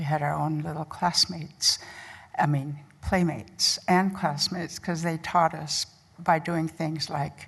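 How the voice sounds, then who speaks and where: Somewhat breathy and very deep, low in pitch, a woman speaks at a fairly slow pace with fairly even intonation and a Lakota accent. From Pine Ridge, South Dakota (Oglala Lakota). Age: 70s. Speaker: nurse educator. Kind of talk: conference talk.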